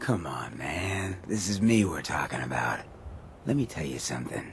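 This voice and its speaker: In a put-on character voice, a man speaks at a moderate pace, very deep and raspy, with very wide pitch swings over light background noise. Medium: video game. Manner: laid-back, smooth.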